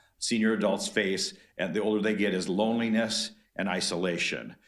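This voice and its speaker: A man speaks with an American accent at a fairly low pitch. Noticeable background noise is present. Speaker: retired volunteer. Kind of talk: public comment at a board meeting. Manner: fast.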